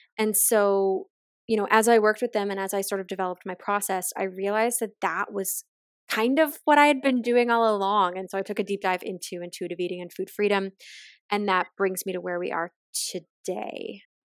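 A woman with a Maritime Canadian accent, medium in pitch with ordinary variation, at a fairly quick pace on a very clean recording with a silent background. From Nova Scotia, Canada (near Halifax). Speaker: nutritionist and intuitive eating coach. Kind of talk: interview conversation.

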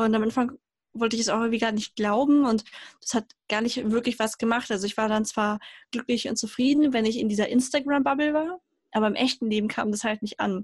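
A woman speaks at a fairly quick pace with fairly high pitch and ordinary pitch variation. She has a plain, everyday voice, and the sound is dry and close with no echo. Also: very clean recording, silent background. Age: 20s. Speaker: mechanical engineer and self-love advocate. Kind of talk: interview.

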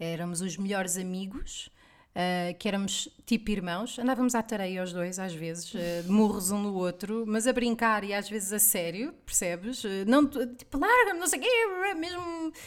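A woman with an ordinary speaking voice talks at a moderate pace, fairly high in pitch, with lively intonation. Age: 30s. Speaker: podcast co-host. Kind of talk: casual chat.

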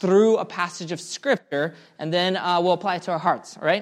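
A man speaks in an animated tone at a high pitch. The background is quiet. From Russia. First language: Russian. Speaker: pastor. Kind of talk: sermon.

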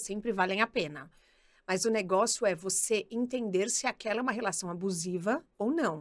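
Speaking at a fairly quick pace, a woman uses an animated tone, a medium pitch and ordinary pitch variation, captured with a dry, close sound and no echo. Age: 30s. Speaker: career specialist and podcaster. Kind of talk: casual chat.

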